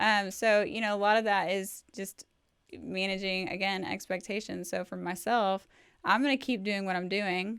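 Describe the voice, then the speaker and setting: A woman talks in a plain, everyday voice at medium pitch with fairly even intonation and a moderate pace. The recording is very clean, with a silent background. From Texas, Fort Worth. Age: 30s. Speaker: cosmetic injector. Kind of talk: casual chat.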